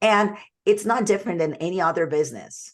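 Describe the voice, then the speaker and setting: A woman speaks with a Portuguese accent at a fairly quick pace. Her pitch varies in an ordinary way over a quiet background. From Brazil. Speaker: sales coach. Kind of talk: webinar presentation.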